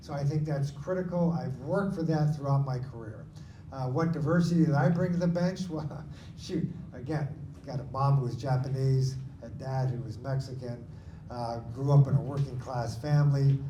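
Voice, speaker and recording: The speaker has an American accent and ordinary pitch variation. Some room echo can be heard. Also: man, fairly high pitch for a man, moderate pace. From Washington State, US (Lakewood near Tacoma). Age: 60s. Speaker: supreme court candidate, attorney. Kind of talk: candidate forum answer. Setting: in-person community forum.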